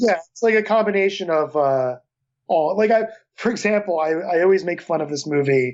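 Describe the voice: A man's high-pitched voice with a Philadelphia accent, at a fairly quick pace. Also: ordinary pitch variation, slightly mellow tone. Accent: mild Philadelphia.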